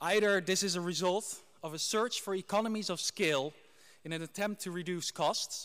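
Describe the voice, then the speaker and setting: A high-pitched man with a Dutch accent, at a moderate pace and with ordinary pitch variation. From Netherlands. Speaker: graduate giving valedictory speech. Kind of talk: ceremonial speech. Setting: graduation ceremony hall with audience.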